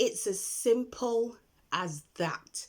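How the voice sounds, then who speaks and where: A woman with a fairly high pitch is heard on a very clean recording with a silent background. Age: 30s. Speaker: online business vlogger. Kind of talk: casual tutorial. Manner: unedited, talkative.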